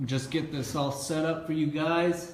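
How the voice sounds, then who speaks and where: Loud, a man speaks over noticeable background noise with audible room echo. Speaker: motivational speaker. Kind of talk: casual livestream talk. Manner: animated.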